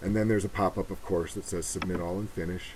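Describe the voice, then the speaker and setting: A man speaks quietly in a mumble. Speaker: humanitarian mapping volunteer. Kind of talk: screen-recorded tutorial walkthrough. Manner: mumbling, quiet.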